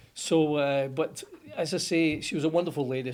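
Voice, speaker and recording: Speaking with a strong Scottish accent, a man uses a fairly high pitch and ordinary pitch variation. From Scotland, Motherwell (Lanarkshire). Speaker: plumbing company founder. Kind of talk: interview storytelling.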